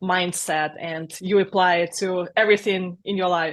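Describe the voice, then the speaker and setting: A woman's medium-pitched voice in a Russian accent, with fairly even intonation. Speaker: software agency founder. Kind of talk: interview.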